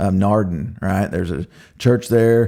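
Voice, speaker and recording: In an American accent, a man speaks at a moderate pace with a dark, mellow tone, fairly low pitch and ordinary pitch variation, on a very clean recording with a silent background. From Oklahoma, US. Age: 40s. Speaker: podcast host. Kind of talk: personal testimony. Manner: casual, with frequent fillers.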